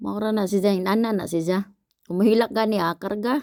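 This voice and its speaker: A woman's dark, mellow voice at a moderate pace, with fairly even intonation. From Philippines, Visayas. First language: Cebuano (speaking Tagalog). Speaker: vlogger. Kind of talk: cooking vlog voice-over. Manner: casual, halting.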